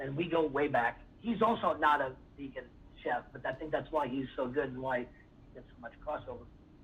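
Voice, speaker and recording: A fairly high-pitched man talks fairly quickly, his pitch varying in an ordinary way. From US West Coast, San Francisco Bay Area. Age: 60s. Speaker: chef. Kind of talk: roundtable discussion.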